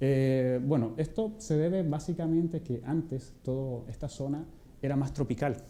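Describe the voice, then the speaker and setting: Through noticeable background noise and audible room echo, a man with a Chilean accent speaks at a medium pitch. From Chile, Atacama region (Vallenar). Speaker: physicist. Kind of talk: public lecture.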